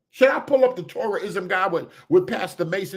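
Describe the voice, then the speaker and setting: A man speaks loudly. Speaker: livestream host. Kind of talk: casual livestream chat. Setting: hotel room.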